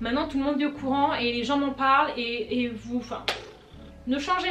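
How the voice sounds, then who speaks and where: With music in the background and audible room echo, a woman talks with ordinary pitch variation. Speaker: YouTuber and writer. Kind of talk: casual Q&A vlog. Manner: halting, repeats words.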